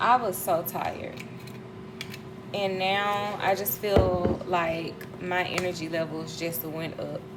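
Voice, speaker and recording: A woman with an American accent speaks very slowly at a fairly low pitch with fairly even intonation, amid noticeable background noise and audible room echo. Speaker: lifestyle vlogger. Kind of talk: casual vlog narration while cooking. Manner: casual, conversational.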